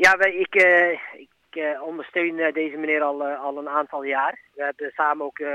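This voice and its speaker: This man's fairly high voice stays monotone and flat as he speaks at a fairly slow pace. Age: 30s. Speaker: personal coach. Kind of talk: interview. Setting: phone call. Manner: halting, many fillers.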